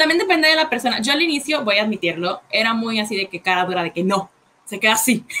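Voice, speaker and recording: A woman's fairly high voice at a very fast pace, with very wide pitch swings over noticeable background noise. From Puerto Rico. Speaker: podcast co-host, cover singer. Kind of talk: casual chat. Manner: sounds harsh, as if angry.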